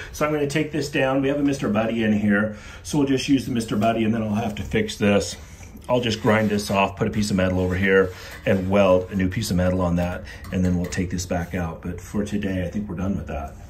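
This is an unremarkable speaking voice, a man with fairly low pitch talking at a fairly quick pace with ordinary pitch variation. Light background noise can be heard. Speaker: father vlogger. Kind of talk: casual vlog chat. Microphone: phone near.

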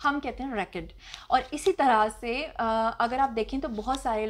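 A woman's voice at a high pitch. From Pakistan. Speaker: YouTuber, host and actress; YouTuber, host, actress. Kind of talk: Q&A vlog answering viewer comments. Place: home room. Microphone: lapel.

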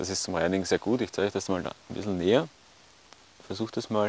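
A man talks at a fairly quick pace in a low pitch. His tone is slightly mellow, with ordinary pitch variation.

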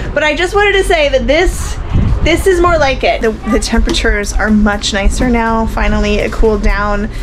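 Music can be heard behind the speech. The woman talks at a moderate pace. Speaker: RV travel vlogger. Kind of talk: casual vlog chat. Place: home room. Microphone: phone near.

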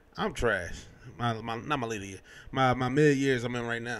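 His pace is moderate. It's a man talking. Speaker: podcast host. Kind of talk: casual podcast chat. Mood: relaxed, joking. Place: home room. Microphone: studio mic.

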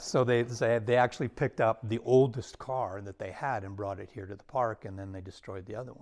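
An ordinary speaking voice moves at a fairly quick pace with fairly even intonation over a quiet background. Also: man. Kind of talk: interview answer. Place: hall.

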